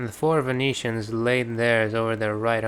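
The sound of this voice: The text comes out in an unforced reading voice.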